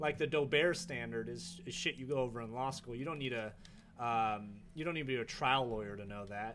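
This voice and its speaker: A man with a plain, everyday voice talks at a fairly quick pace, his medium pitch showing ordinary variation. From Northern California (Davis). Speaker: lawyer. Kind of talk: casual chat. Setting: outdoors on a patio.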